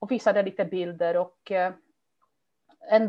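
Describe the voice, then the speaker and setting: A woman speaks with a non-native accent at a moderate pace. Her pitch sits in the middle range. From immigrant to Sweden. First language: not Swedish (speaking Swedish). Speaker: language teacher and teacher trainer. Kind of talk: interview.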